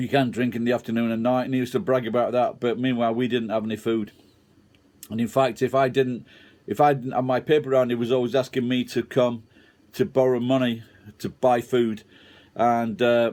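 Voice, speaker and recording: On a very clean recording with a silent background, the speaker talks at a fairly quick pace in a monotone, flat intonation. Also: man, medium pitch for a man. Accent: Sheffield. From Sheffield, England. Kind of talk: casual talk to camera, personal story.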